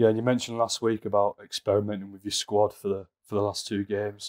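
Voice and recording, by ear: A man's fairly low voice, slightly mellow in tone, with little pitch movement and a fairly quick pace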